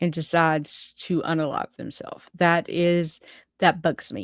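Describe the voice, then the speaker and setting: A woman with a Southern US accent talks at a fairly low pitch in a very clean recording with a silent background. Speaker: vlogger. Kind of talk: casual vlog monologue. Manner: halting, many fillers.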